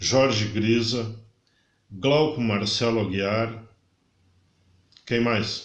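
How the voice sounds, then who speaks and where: Amid audible room echo, a man speaks at a very slow pace and medium pitch, with fairly even intonation and long, frequent pauses. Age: 60s. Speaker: podcast guest. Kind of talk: casual interview chat.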